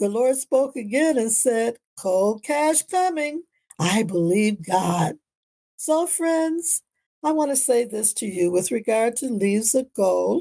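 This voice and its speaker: A woman in an American accent, fairly high in pitch, dark and mellow in tone, very slow, with very wide pitch swings. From Canada and US. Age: 80s+. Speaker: minister and life coach podcaster. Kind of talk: inspirational monologue.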